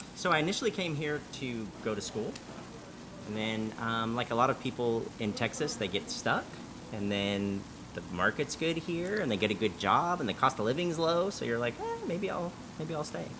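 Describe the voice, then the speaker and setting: A man with an American accent speaks at a medium pitch with very wide pitch swings. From Southern California, San Diego. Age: 40s. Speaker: credit restoration company owner. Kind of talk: interview. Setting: cafe. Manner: fast.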